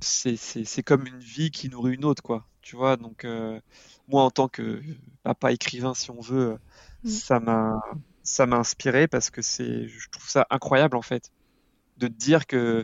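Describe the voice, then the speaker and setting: With a medium pitch and a monotone, flat intonation, a man speaks at a fairly slow pace, leaving long, frequent pauses while his loudness swings a lot. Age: 30s. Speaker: father and parenting blogger. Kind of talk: casual interview. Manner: halting, many repetitions.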